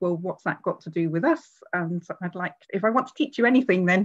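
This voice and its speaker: With ordinary pitch variation, a woman is talking. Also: quiet background. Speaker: professor giving a seminar talk. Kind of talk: lecture. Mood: warm, lightly humorous. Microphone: video call.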